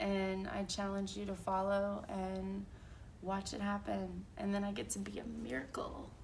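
A woman speaks at a fairly slow pace. Light background noise sits behind her. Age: 30s. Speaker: vlogger with cancer; vlogger sharing a personal diagnosis. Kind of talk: personal vlog testimony. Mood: earnest, hopeful, faith-driven. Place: home room. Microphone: camera far.

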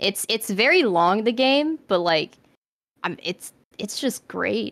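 A woman's voice in a very clean recording with a silent background, the sound dry and close with no echo. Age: 20s. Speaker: vtuber artist and animator. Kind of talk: casual chat. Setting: live stream. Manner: halting.

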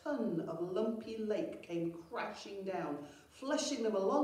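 The intonation here is lively. The text is read aloud in a natural voice.

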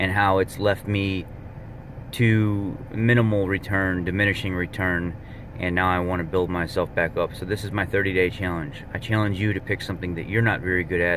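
Over noticeable background noise, a man with a very deep, low pitch speaks at a moderate pace in a monotone, flat intonation, the sound dry with no echo. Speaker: fitness vlogger. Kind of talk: casual vlog chat. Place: car. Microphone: phone near.

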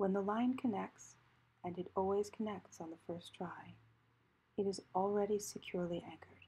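A woman speaks at a medium pitch with fairly even intonation, a dark, mellow, calm tone and a somewhat breathy quality. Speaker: priest and spiritual director, guided meditation leader. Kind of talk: guided meditation. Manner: calm, slow, with long pauses.

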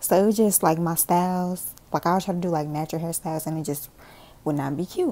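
Here a woman talks at a fairly quick pace with a fairly low pitch. Her intonation stays fairly even. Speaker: vlogger. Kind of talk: casual vlog chat. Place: home room. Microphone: earbuds.

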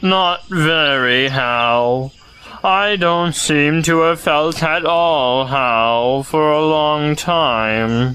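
A put-on character voice, low-to-middle in pitch, at a very slow pace. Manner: gloomy, mopey.

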